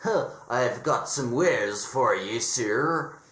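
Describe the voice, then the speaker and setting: A man puts on a character voice at medium pitch. He goes at a very slow pace with lively intonation. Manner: wheedling, servile.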